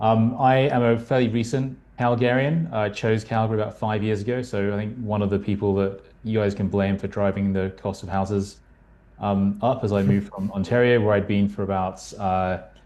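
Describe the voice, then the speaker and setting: Fairly low in pitch with a dark, mellow tone, a man speaks fairly quickly in a British accent, his intonation fairly even. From UK. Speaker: marketing strategist. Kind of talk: panel discussion.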